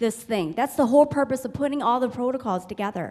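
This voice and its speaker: Here a woman talks fairly quickly at a high pitch. Her intonation is lively. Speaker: community member in audience. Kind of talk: heated public forum statement. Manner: loud, boisterous.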